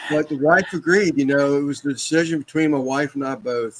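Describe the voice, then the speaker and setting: A man talks at a fairly quick pace with medium pitch. He has an ordinary speaking voice. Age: 60s. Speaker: barbecue cook and embroiderer. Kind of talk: casual chat.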